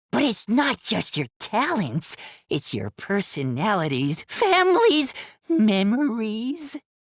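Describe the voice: This is a cartoonish character voice. It sits fairly high in pitch and moves at a fairly slow pace.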